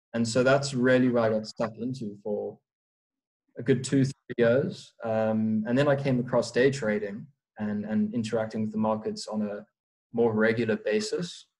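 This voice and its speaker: Here a man speaks with a South African accent. He keeps a medium pitch at a moderate pace. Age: young. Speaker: prop trader. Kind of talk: casual interview. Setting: remote call.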